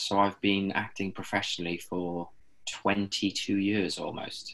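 A man talks slowly in a low voice with vocal fry. His tone is fairly bright, with little pitch movement.

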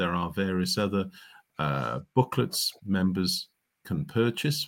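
This man speaks fairly slowly with a Cardiff accent. His pitch is fairly low and his intonation lively. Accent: Welsh (Cardiff). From Wales, Cardiff. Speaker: cricket historian and author. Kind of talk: interview.

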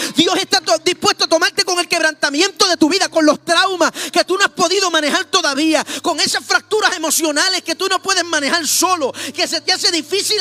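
Raising and projecting his voice, a man speaks in an animated tone at a fairly quick pace and an extremely high pitch, the sound dry and close with no echo but noticeable background noise. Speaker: pastor. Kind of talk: sermon.

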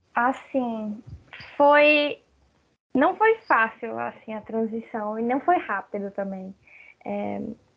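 A woman at a very slow pace and fairly high pitch, with lively intonation, big swings in loudness, and long, frequent pauses. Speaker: lawyer and graphic designer. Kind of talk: casual chat.

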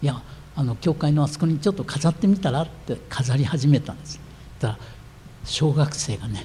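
A man talks at a fairly quick pace with vocal fry. His pitch is fairly high, with ordinary pitch variation. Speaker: pastor. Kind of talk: sermon.

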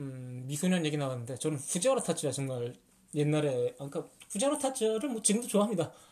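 A man's fairly high, somewhat breathy voice with a dark, mellow tone, lively intonation and a very fast pace. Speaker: podcast host, book reviewer. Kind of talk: casual chat about movies.

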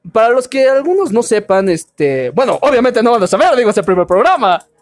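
A man is speaking. Music plays in the background. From Mexico, Veracruz. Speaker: podcast host. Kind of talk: casual chat.

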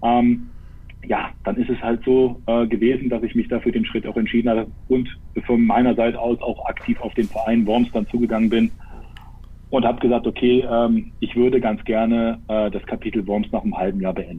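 Intonation stays monotone and flat while the speech proceeds at a moderate pace. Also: man, medium pitch for a man. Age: 30s. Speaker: football player and assistant coach. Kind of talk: casual live talk interview. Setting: live stream.

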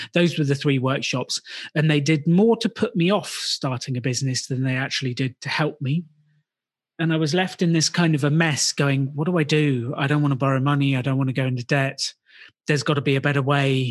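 A man speaks at a fairly quick pace in a fairly high, somewhat breathy voice with ordinary pitch variation and very even loudness, in a dry, close sound with no echo. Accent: British. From UK. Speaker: business school co-founder. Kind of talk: interview, casual chat.

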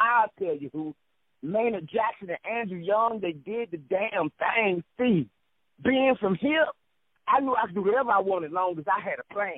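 This man talks at a moderate pace with a Southern US accent. His pitch is high and his intonation lively. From US South. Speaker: poet. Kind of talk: poetry reading.

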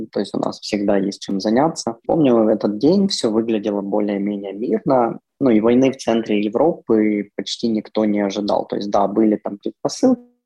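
In a normal speaking voice, a man talks at a fairly low pitch. His pace is moderate, with ordinary pitch variation. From Ukraine. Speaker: bank privacy specialist. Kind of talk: remote interview.

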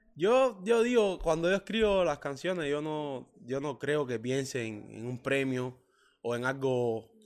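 The recording of a man with a Cuban accent is very clean, with a silent background. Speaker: professional footballer and songwriter. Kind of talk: interview. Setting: hotel lobby.

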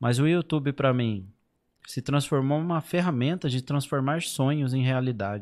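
Recorded very cleanly against a silent background, a man with an unremarkable speaking voice talks at a moderate pace with ordinary pitch variation. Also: medium pitch for a man. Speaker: YouTuber on emigrating to Europe. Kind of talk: casual chat.

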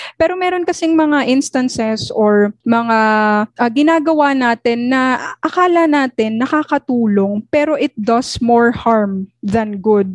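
Her pitch is high and her intonation lively as this woman speaks at a fairly slow pace with very even loudness. The sound is dry and close, with no echo. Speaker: student podcast co-host. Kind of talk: casual chat.

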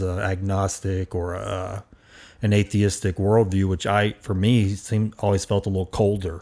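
A man with a fairly low pitch and a dark, mellow tone, in monotone, flat intonation, on a very clean recording with a silent background. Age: 40s. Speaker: podcast host. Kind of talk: casual chat. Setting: studio.

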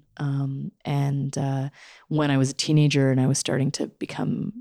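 A woman with a Canadian accent speaks at a moderate pace, her pitch very deep and low and her tone dark and mellow. The recording is very clean, with a silent background and a dry, close sound with no echo. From Canada. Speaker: social worker and sex educator. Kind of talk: interview conversation. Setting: in a home.

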